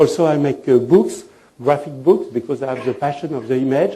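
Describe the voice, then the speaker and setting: With a French accent, a man speaks at a fairly high pitch with ordinary pitch variation, amid audible room echo and noticeable background noise. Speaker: fashion designer and trend consultant. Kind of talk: lecture. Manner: halting.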